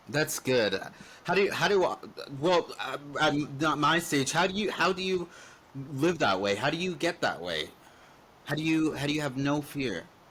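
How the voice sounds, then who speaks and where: Noticeable background noise sits behind a man with a fairly high pitch. He keeps a moderate pace but leaves long, frequent pauses. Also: lively intonation. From western Canada. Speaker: podcast host. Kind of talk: casual chat.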